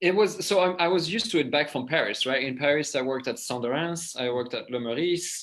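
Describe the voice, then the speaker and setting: A man with a French accent talks at a very fast pace, with hardly any pauses. His pitch is fairly high, with ordinary variation. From southwest France (Les Landes, Mont-de-Marsan). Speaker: pastry chef and food entrepreneur. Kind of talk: interview. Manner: casual, halting with fillers.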